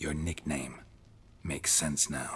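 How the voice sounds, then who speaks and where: In a put-on character voice, a man growls at a very deep, low pitch. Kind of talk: video game dialogue. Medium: video game. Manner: dry, terse.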